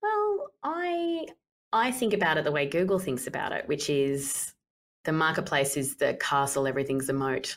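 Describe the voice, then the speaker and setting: This is a woman with an Australian accent. She speaks at a moderate pace. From Australia, Townsville (Queensland). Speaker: company CEO and co-founder. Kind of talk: interview.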